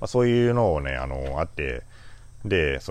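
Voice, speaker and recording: Vocal fry runs through this voice at a moderate pace. The pitch swings very widely. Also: man. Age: 40s. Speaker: flower farmer. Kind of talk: casual monologue podcast. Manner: halting, many fillers.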